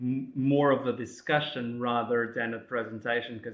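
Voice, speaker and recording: A man's medium-pitched, flat monotone delivery at a moderate pace, with a non-native accent. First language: not English. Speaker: academic presenter. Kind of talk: webinar presentation. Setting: online webinar. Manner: halting, many fillers.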